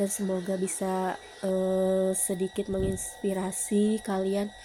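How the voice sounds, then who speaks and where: The speaker is a woman. Noticeable background noise runs behind her voice. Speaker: housewife vlogger. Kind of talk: vlog voiceover. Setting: at home. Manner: casual, with many fillers.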